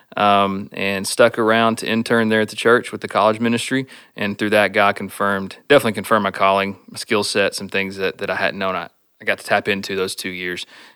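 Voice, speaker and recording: A man with a Texan accent speaks at a fairly quick pace and fairly low pitch, his bright, sharp tone kept monotone and flat in a very clean recording with a silent background. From Stephenville, Texas. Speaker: church planting candidate and college minister. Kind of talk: casual interview.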